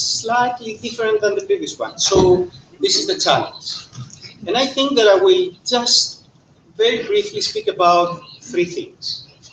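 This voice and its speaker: A man speaks at an extremely high pitch and a moderate pace. His pitch swings very widely over noticeable background noise. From Greece. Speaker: economist. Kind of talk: panel talk.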